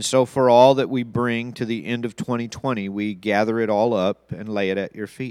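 The man has an unremarkable speaking voice at medium pitch and fairly even intonation. He keeps a moderate pace with hardly any pauses. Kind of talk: fervent pastoral prayer. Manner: earnest, solemn, tender and heartfelt.

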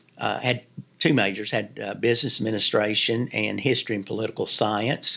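A man's fairly low voice with an American accent, at a fairly quick pace with ordinary pitch variation. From Kentucky, Williamsburg (southeastern). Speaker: Baptist association mission strategist. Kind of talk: interview conversation. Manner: halting.

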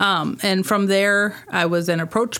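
A woman speaks with a Midwestern American accent. Her pace is moderate. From US Midwest, northern Illinois (Rock Falls). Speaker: director of a downtown revitalization organization. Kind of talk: casual interview.

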